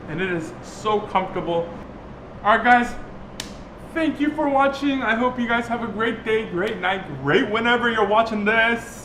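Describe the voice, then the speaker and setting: With a raised, projected voice, a man speaks at an extremely high pitch with ordinary pitch variation. Audible room echo and noticeable background noise surround him. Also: moderate pace. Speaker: DIY vlogger. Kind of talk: casual tutorial vlog. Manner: halting, filler-heavy.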